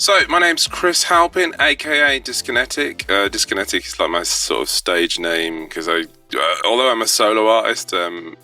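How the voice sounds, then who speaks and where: Music plays behind a man speaking with a British accent. He keeps a moderate pace with hardly any pauses. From UK. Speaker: musician. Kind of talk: interview. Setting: studio.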